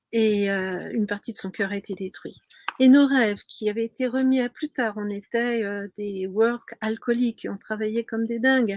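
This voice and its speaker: A normal speaking voice at a moderate pace with fairly even intonation, recorded dry and close with no echo. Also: woman. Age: 60s. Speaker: sailing coach. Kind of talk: webinar presentation. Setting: live stream.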